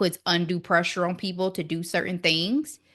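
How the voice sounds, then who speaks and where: Against a quiet background, a woman with a fairly low pitch speaks at a moderate pace in an animated, bright, sharp tone. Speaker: podcast co-host. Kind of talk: casual chat.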